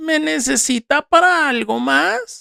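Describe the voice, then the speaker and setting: A put-on character voice with fairly high pitch moves at a fairly slow pace. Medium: read story. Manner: quiet, deferential.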